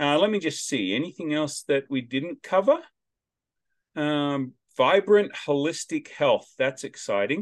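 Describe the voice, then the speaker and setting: With an Australian accent, a man speaks fairly slowly and with lively intonation in a dry, close sound with no echo. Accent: Australian, noticeable. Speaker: podcast host. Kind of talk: casual interview chat. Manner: loud, animated.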